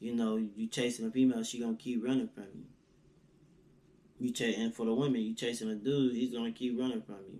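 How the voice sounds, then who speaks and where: Delivered at a very fast pace, this dark, mellow voice has monotone, flat intonation and big swings in loudness. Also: man, medium pitch for a man. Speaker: motivational vlogger, aspiring entrepreneur. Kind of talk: casual motivational monologue.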